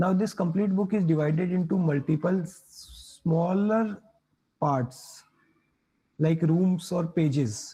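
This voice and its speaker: A man's dark, mellow voice sits high in pitch, moving at a fairly slow pace with ordinary pitch variation. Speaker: cybersecurity instructor. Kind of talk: live online lecture. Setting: live online class.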